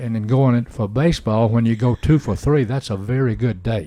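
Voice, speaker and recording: In an Alabama accent, a man speaks at a medium pitch with a dark, mellow tone. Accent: Southern US (Alabama). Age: 80s+. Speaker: retired baseball coach. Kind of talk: casual chat. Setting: radio studio.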